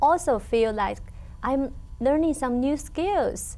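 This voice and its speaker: Here a woman talks with a Chinese accent. Her pace is fairly slow. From China. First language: Mandarin Chinese. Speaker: language teacher. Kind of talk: interview. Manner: halting, with pauses.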